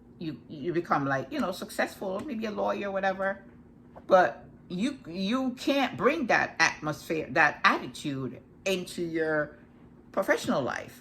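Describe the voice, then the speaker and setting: Her voice sits at a medium pitch with very wide swings, and the woman has a slight Jamaican accent. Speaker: life coach. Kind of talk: casual talk to camera. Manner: fast; halting, many restarts.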